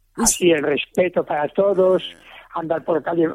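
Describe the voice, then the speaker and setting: With a high pitch and ordinary pitch variation, a man speaks at a moderate pace. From Spain. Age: 80s+. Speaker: restaurant owner. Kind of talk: radio interview.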